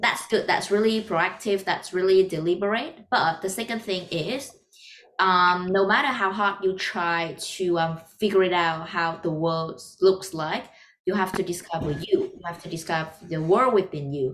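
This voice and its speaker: A woman speaks in a Vietnamese accent at a medium pitch. Her pace is moderate and her pitch varies in an ordinary way. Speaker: podcast host. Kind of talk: casual interview chat.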